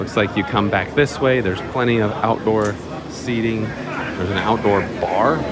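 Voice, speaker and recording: Loud background noise accompanies a man speaking at a moderate pace. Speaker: restaurant vlogger. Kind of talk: casual vlog chat. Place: cafe. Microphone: phone near.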